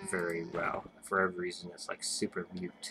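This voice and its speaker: Mumbling at a fairly slow pace, a man shows ordinary pitch variation amid noticeable background noise. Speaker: gaming YouTuber. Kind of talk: gameplay commentary. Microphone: webcam microphone, picks up poorly.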